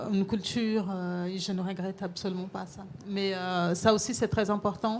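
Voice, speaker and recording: A woman with a Brazilian accent speaks in a monotone, flat intonation. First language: Portuguese (speaking French). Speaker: chef. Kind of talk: panel discussion.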